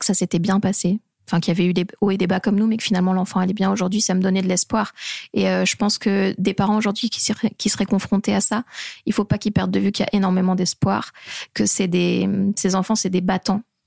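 A woman with a medium pitch and vocal fry speaks at a very fast pace in a monotone, flat intonation, her loudness very even. The sound is dry and close, with no echo. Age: 30s. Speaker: mother of a premature baby. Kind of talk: interview testimony.

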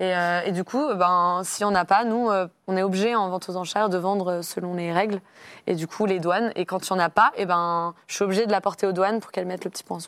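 A woman at medium pitch, fairly quick and fairly even in intonation, on a very clean recording with a silent background. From Brittany, France (Rennes). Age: 20s. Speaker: auctioneer. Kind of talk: casual interview.

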